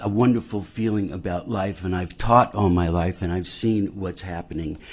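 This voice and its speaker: At a moderate pace, a man speaks in a very deep, low voice with fairly even intonation. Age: 60s. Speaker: musician and music teacher. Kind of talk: public comment. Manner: passionate.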